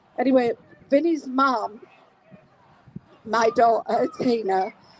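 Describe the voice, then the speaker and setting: Over noticeable background noise, a woman speaks very slowly with high pitch and ordinary pitch variation. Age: 60s. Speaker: feminist campaigner. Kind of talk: public speech. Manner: halting.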